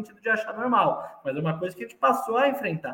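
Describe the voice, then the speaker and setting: Lively intonation carries this very fast delivery over noticeable background noise. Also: man. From Brazil, São Paulo city. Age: 20s. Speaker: politician. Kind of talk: interview.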